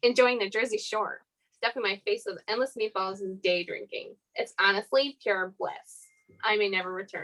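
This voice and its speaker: A woman uses a put-on character voice, nasal and fairly high in pitch. She keeps a moderate pace over music in the background. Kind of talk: mimicking an employee's vacation message. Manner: nasally, mocking.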